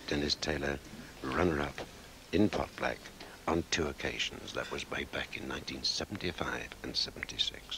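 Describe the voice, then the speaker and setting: Noticeable noise surrounds a man whispering at a moderate pace. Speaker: snooker commentator. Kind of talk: sports commentary. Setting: broadcast archive, early 1980s. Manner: soft-spoken.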